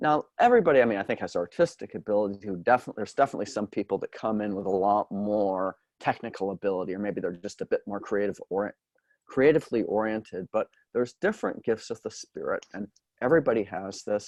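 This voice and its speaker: A man with an American accent talks at a very fast pace with ordinary pitch variation, in a dry, close sound with no echo. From Massachusetts, US. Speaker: medium and teacher. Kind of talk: interview. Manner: halting.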